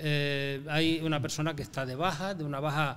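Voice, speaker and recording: A man's fairly high, monotone voice at a moderate pace, flat in intonation, with audible room echo. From Canary Islands, La Palma. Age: 70s. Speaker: businessman, business association president. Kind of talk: interview conversation. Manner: hesitant, many fillers.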